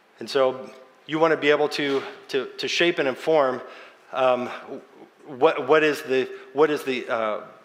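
Against noticeable background noise, a man talks in a fairly high pitch with fairly even intonation. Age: 40s. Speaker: pastor. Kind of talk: sermon.

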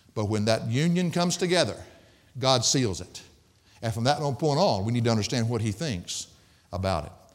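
With a Southern US accent, a man at medium pitch speaks at a fairly quick pace, using very wide pitch swings and long, frequent pauses. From US South. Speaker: pastor. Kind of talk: sermon. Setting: church. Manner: fast talker.

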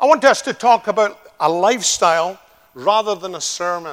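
A man with a Scottish accent speaks at a moderate pace in a high voice. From Scotland. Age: 60s. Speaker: visiting preacher. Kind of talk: sermon. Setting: church.

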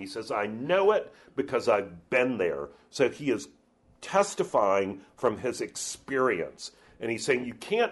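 A clip of plain reading aloud

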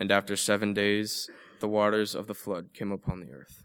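A fairly low-pitched man at a moderate pace, in a very clean recording with a silent background. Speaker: student scripture reader. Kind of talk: reading aloud. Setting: church.

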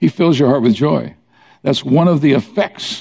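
Vocal fry runs through a man's dark, mellow tone as he talks at a fairly quick pace with lively intonation. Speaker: pastor. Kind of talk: sermon. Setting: church.

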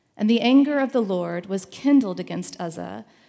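A woman with medium pitch, an ordinary speaking voice and a fairly slow pace. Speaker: scripture reader. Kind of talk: scripture reading.

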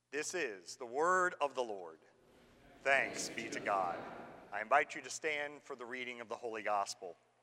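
A man with an unremarkable speaking voice talks at a medium pitch and a moderate pace, his intonation lively and his loudness swinging widely. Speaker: pastor. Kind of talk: liturgy and scripture reading. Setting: church. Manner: formal.

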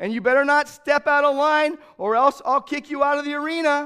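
At a moderate pace, a man with an extremely high pitch uses a raised, projected voice with an animated, bright, sharp tone. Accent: American. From California. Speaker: pastor. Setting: church service before a congregation. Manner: conversational and animated storyteller, repeating words for effect; warm, folksy delivery with self-corrections and small stumbles.

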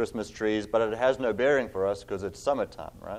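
A man with a South African accent and ordinary pitch variation. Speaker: pastor. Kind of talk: sermon. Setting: church.

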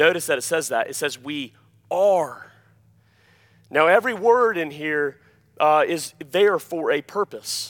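Over a very clean recording with a silent background, a man with a high pitch talks at a fairly slow pace, with lively intonation and long, frequent pauses. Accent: Alabama. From US South, Alabama. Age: 30s. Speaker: pastor. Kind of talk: sermon. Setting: church.

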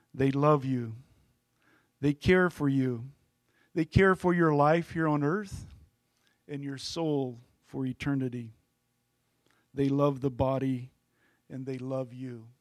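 A man's fairly high voice with ordinary pitch variation, a very slow pace and long, frequent pauses. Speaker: new church elder. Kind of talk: testimony. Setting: church.

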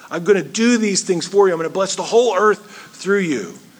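A man speaks in a high voice over noticeable background noise, with audible echo in the room. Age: 40s. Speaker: pastor. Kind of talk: sermon.

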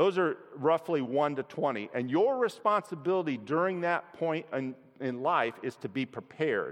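With an ordinary speaking voice, a man talks at a fairly slow pace and fairly high pitch, his intonation lively. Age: 60s. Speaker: lay preacher at his church. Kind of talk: sermon. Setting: church. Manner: conversational with filler words.

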